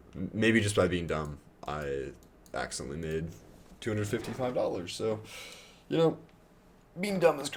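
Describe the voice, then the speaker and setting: With noticeable background noise behind him, a man talks at a moderate pace in a fairly low pitch, his voice swinging very widely in pitch and broken by long, frequent pauses. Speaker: day trader streaming live. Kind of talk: live trading commentary. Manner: halting.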